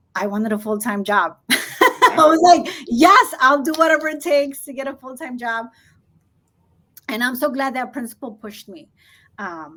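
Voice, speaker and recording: A woman's bright, sharp tone with a Spanish accent. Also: very clean recording, silent background. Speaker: school administrator. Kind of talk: interview.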